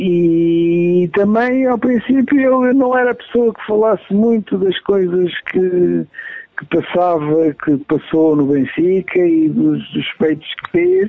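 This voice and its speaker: Here a man speaks in a high pitch at a very slow pace. His intonation is lively. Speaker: son of a football legend. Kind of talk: interview.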